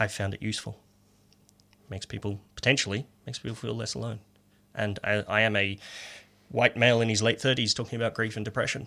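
Delivered in an Australian accent with monotone, flat intonation and a bright, sharp tone, the speech runs at a very fast pace broken by long, frequent pauses, in a very clean recording with a silent background. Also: man, medium pitch for a man. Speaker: poet. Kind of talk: casual chat; poetry reading. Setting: radio studio.

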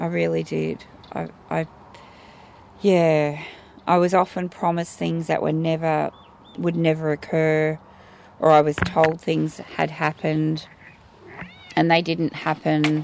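A woman with an Australian accent speaks at a fairly slow pace, leaving long, frequent pauses. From Australia, Geelong, Victoria. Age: 40s. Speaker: community activist. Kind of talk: recorded interview.

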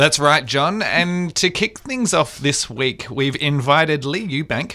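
Speaking with an Australian accent, a man has a bright, sharp tone. His pace is fairly slow and his intonation lively. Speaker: community radio host. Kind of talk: radio talk show. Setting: studio.

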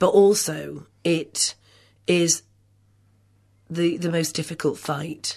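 A woman's fairly low voice with a dark, mellow tone over a quiet background. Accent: English. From England. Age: 50s. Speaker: feminist writer. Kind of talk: radio interview.

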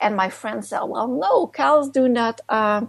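A woman with a fairly high pitch speaks at a fairly slow pace. Her intonation is lively. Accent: Quebec. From Quebec, Canada. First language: French. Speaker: author and activist. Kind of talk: interview.

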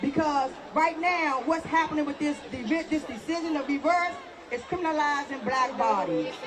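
Against crowd noise and audible room echo, a woman with a high voice speaks at a moderate pace with ordinary pitch variation. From Washington, D.C. (Southeast). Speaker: protest organizer. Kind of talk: protest rally speech. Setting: outdoors. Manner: loud.

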